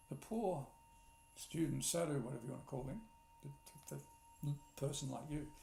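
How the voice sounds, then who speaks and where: A man at a moderate pace with ordinary pitch variation and long, frequent pauses, over noticeable background noise. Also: fairly high pitch for a man. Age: 60s. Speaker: spiritual teacher. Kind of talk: spiritual talk. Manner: repetitive, reflective.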